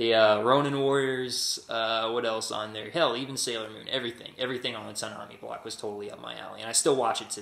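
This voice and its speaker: Over noticeable background noise, a man talks very fast with hardly any pauses, his intonation fairly even but his loudness swinging widely. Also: medium pitch for a man. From Texas. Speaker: vlogger. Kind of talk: casual vlog. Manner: halting, many fillers.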